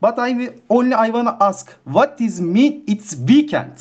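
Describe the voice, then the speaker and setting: The pace is on the fairly slow side. A non-native accent is heard. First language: not English. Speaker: community member. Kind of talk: online community Q&A. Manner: halting.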